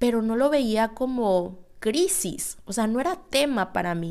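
A woman's ordinary speaking voice, fairly high in pitch, with lively intonation and a fairly slow pace, on a very clean recording with a silent background. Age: 20s. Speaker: podcast host. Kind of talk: casual monologue.

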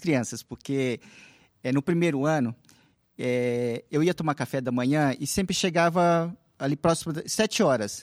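A man speaks in an unremarkable speaking voice, fairly high in pitch with ordinary variation. The recording is dry and close, with no echo. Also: very clean recording, silent background. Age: 50s. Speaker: seminary student. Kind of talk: casual interview.

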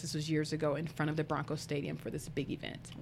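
A woman with an American accent, very deep and low in pitch, at a very fast pace. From US South, Arkansas. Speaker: entrepreneur and author. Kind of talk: interview.

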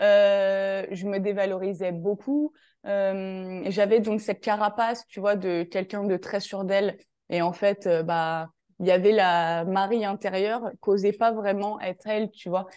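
A woman talks at a very slow pace in a medium pitch, with a dark, mellow tone and fairly even intonation. The background is quiet. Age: 20s. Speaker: life and career coach. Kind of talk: casual interview chat.

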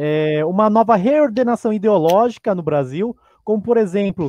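A man's high voice, dark and mellow in tone, at a fairly slow pace with lively intonation and a dry, close sound with no echo. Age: young. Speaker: arts teacher, panelist. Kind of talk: interview.

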